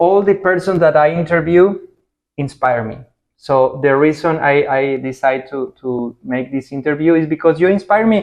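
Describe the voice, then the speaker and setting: Using a fairly high pitch with ordinary variation, a man with a Spanish accent talks at a moderate pace. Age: 40s. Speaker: interviewer, rental business owner. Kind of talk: interview.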